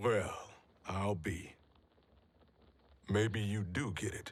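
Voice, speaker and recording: A man uses a raspy, put-on character voice at a fairly low pitch. He speaks at a very slow pace with fairly even intonation. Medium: video game. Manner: gruff, blunt.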